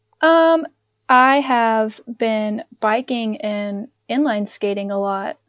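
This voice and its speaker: A woman speaks very slowly with a slight Southern US accent, her fairly high voice sounding dry and close with no echo. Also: ordinary pitch variation. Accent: Southern US, slight twang. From North Carolina, near Charlotte. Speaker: anthropologist guest. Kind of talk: casual chat.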